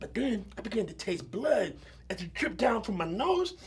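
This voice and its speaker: A man's animated tone at a moderate pace. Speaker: actor. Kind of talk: dramatic monologue performance. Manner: animated storytelling.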